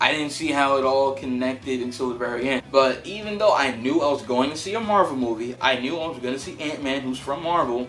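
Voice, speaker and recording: An animated man at a medium pitch, at a fairly quick pace and with ordinary pitch variation, with audible room echo and music in the background. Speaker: movie reviewer YouTuber. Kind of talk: casual movie review vlog. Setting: home recording on camera. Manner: casual, animated.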